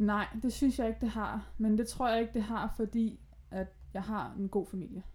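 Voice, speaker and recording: A woman speaks at a moderate pace with a fairly high pitch. Her voice is somewhat breathy and her intonation monotone and flat. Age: 20s. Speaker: podcast guest with bipolar disorder. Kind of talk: casual chat. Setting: at guest's home, sewing machine in background.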